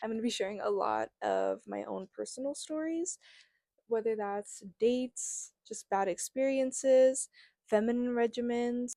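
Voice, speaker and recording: Dry and close with no echo, a woman's fairly high voice carries an American accent and a dark, mellow tone. She speaks at a fairly slow pace with ordinary pitch variation. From New Mexico, US. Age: 20s. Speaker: podcast host. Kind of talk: casual solo podcast monologue. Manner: animated.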